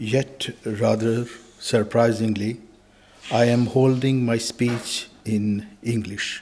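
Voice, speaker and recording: A man at medium pitch, very slow, with very even loudness and a monotone, flat intonation. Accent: Pakistani. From Pakistan. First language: Urdu and Punjabi. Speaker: religious speaker. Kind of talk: speech. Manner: formal.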